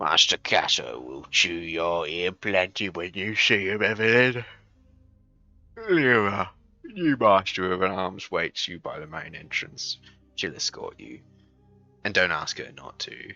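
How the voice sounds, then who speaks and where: Putting on a character voice, a man speaks with a very deep, low, gravelly pitch, lively intonation, big swings in loudness, a fairly slow pace and long, frequent pauses. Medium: game stream. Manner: gruff, hearty.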